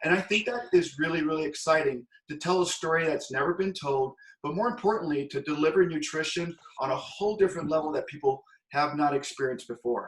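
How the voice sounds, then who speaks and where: The speech moves at a very fast pace with ordinary pitch variation. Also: man, fairly high pitch for a man. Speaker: network marketing presenter. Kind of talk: sales pitch.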